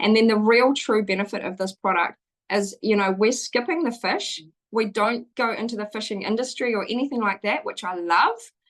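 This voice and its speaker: Her pitch moves with ordinary variation. The woman's voice sits fairly high. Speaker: event host and product presenter. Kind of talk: sales pitch. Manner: fast.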